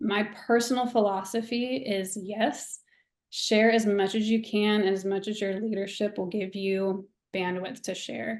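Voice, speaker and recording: A woman's medium-pitched voice, flat and monotone, at a fairly slow pace over a quiet background. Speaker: church staff member, guest presenter. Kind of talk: webinar presentation.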